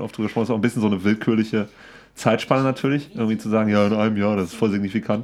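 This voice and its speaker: This voice belongs to a man. His pitch is fairly low. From Siegerland, Germany. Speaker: podcast co-host. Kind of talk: casual chat.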